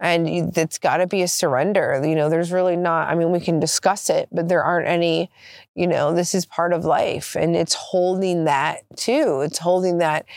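In a plain, everyday voice, a woman speaks at a moderate pace and a fairly low pitch, her loudness very even and her intonation fairly even, on a very clean recording with a silent background. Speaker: experienced energy healer. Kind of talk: casual reflective conversation on healing.

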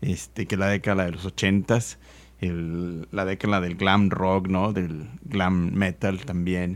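Over a very clean recording with a silent background, a man with a very deep, low pitch speaks at a very slow pace and with fairly even intonation. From Mexico, Nuevo León. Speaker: podcast host. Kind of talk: casual chat.

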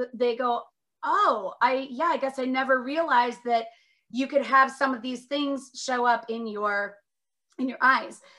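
A woman with an American accent uses a raised, projected voice that is high in pitch and bright and sharp in tone. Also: ordinary pitch variation. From Minnesota, Northfield. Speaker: optometrist. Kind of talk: interview.

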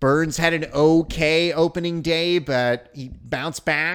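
Speaking at a very slow pace with an American accent, a man with a fairly high pitch is heard on a very clean recording with a silent background. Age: 40s. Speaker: sports podcast host. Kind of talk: solo sports talk. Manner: animated.

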